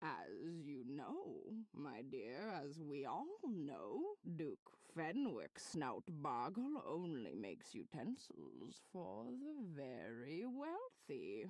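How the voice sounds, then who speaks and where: In a put-on character voice, the speaker talks at a very slow pace with a middle pitch. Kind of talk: comic overacting. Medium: game stream. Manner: melodramatic, old-fashioned, says dearie.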